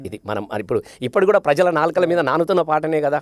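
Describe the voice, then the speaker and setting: A man with an unremarkable speaking voice talks in a fairly high pitch with ordinary pitch variation. The sound is dry and close, with no echo. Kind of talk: interview answer.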